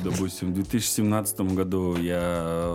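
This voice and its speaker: A man speaks with a very deep, low pitch. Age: 20s. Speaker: blogger. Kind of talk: casual chat.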